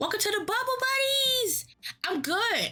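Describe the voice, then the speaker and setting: The voice is raised and projected, animated, with very wide pitch swings. Music plays in the background as the speech moves at a fairly slow pace. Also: woman. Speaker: vtuber streamer. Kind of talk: gaming livestream chat. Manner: animated, excitable; giddy.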